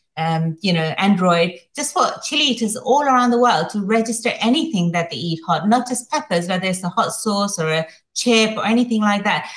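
Somewhat breathy, this woman's voice moves at a moderate pace with ordinary pitch variation. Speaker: competitive chili eater. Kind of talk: interview.

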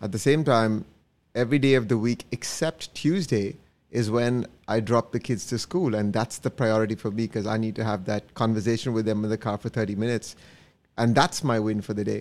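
A man with a normal speaking voice at medium pitch, ordinary pitch variation and a fairly quick pace. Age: 40s. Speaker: insurance advisor. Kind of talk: casual chat.

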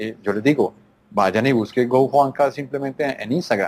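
A man is speaking. He has a slight Colombian paisa accent. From Colombia, Antioquia (paisa). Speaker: insurance tech company marketing executive. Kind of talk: interview.

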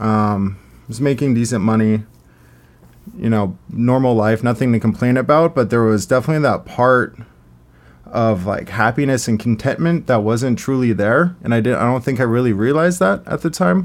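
A man at a medium pitch, with ordinary pitch variation and a moderate pace. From US, Arizona (Scottsdale). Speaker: small business founder. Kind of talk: casual chat.

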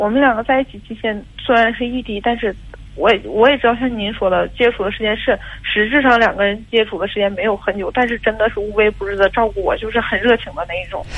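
A woman's very fast speech, fairly high in pitch, with fairly even intonation. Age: 20s. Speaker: caller. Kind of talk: phone-in account. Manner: halting.

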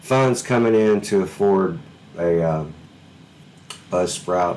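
A man speaks in a Southern US accent with ordinary pitch variation. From Alabama, US South. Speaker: podcast host, musician. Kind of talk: casual chat. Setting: video call.

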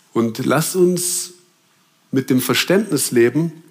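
The pitch here swings very widely. It belongs to a man. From Germany. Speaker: preacher. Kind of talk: sermon.

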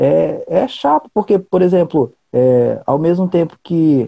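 This man's dark, mellow tone moves through very wide pitch swings. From Rio Branco, Acre, Brazil. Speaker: writer and poet. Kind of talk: casual chat.

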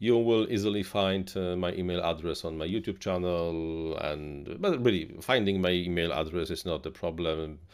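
A man with a Polish accent speaks at a moderate pace in a very deep, low voice with ordinary pitch variation. He hardly pauses at all. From Poland. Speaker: live streamer. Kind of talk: casual live stream chat. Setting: home studio.

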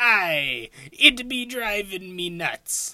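The voice is a put-on character voice at a middle pitch. It is raised and projected. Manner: joking, telling a punchline.

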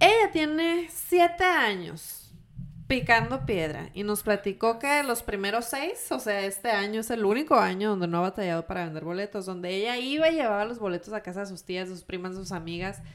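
On a very clean recording with a silent background, a woman of medium pitch talks at a fairly quick pace, with very wide pitch swings and big swings in loudness. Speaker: podcast host. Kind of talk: casual interview.

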